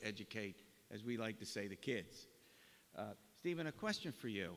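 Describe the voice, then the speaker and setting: A man's voice at medium pitch. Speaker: forum moderator. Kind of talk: moderating a panel. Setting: college gymnasium with audience. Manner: lecture voice. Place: hall. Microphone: podium.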